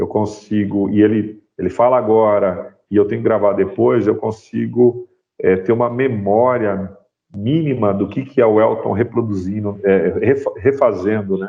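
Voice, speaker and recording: This man talks with a fairly low pitch and fairly even intonation. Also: fairly slow pace. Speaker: sound designer and university professor. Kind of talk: guest talk in a class. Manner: varies pace, speeds up and slows down.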